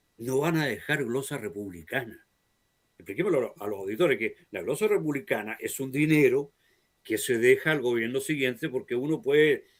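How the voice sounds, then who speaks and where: This man has a fairly high voice and lively intonation, and he speaks at a moderate pace. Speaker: talk show host. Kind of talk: political interview chat. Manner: animated.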